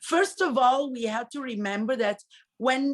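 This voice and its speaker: A woman with an Italian accent talks at a moderate pace, her fairly high pitch carrying lively intonation. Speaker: high school language teacher. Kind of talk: interview.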